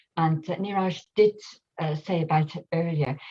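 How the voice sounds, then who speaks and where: The speaker is a woman with a dark, mellow tone. Her voice is somewhat breathy. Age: 70s. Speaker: workshop participant. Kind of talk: sharing circle testimony. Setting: live video call. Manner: halting.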